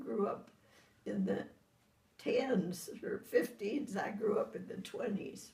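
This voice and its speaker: A woman is speaking. Her pace is very slow. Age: 90s. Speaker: elderly mother being visited. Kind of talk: casual family chat.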